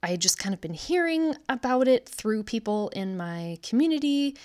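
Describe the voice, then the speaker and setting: Very wide pitch swings from a woman with an American accent, on a very clean recording with a silent background. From US Midwest, Wisconsin. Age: 30s. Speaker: podcaster. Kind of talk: personal testimony monologue. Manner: unscripted, hesitant with fillers.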